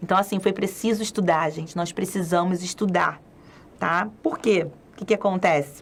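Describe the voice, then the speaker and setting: Somewhat breathy, a woman speaks in an animated tone at a medium pitch. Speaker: children's spiritist educator. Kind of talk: lecture. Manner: fast.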